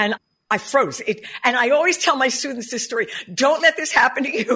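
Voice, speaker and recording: Her tone is animated and bubbly. The woman speaks at a moderate pace. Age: 70s. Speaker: jazz singer and vocal coach. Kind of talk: casual interview. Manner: animated, bubbly.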